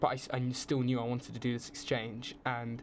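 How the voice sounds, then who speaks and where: The man's pitch is in the medium range. He keeps a moderate pace. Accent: southern English. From southern England, around London. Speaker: film student on exchange. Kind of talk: casual podcast interview.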